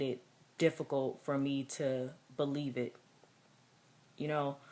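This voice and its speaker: A woman's very deep, low voice, dark and mellow in tone, flat and monotone, on a very clean recording with a silent background. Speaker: vlogger. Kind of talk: personal vlog. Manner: halting.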